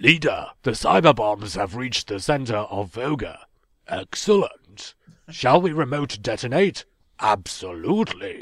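A put-on, robotic character voice from a man, medium in pitch at a moderate pace, on a very clean recording with a silent background. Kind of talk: 1970s sci-fi TV style. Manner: snotty, cold.

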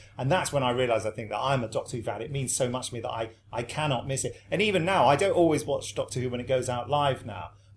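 A man with an English accent talks very fast, with hardly any pauses. His voice is somewhat breathy, at a medium pitch with ordinary variation. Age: 50s. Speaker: actor who voices monsters. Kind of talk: panel discussion.

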